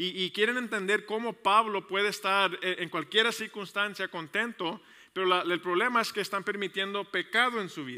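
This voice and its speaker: A man with a high pitch uses a raised, projected voice in a bright, sharp tone. He speaks with hardly any pauses and fairly even intonation against a quiet background. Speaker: pastor. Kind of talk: sermon. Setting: church service with congregation, also streamed online. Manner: fast; halting, many repetitions and fillers. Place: church. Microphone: headset.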